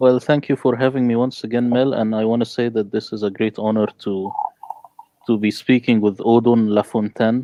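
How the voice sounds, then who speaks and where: Speaking in an Arabic accent, a man keeps a medium pitch and a monotone, flat intonation at a moderate pace. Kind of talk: panel discussion.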